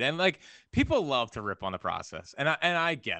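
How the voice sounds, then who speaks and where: Here a man talks at a fairly quick pace with an American accent. His intonation is lively. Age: 20s. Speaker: sports radio host. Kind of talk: casual chat. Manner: animated.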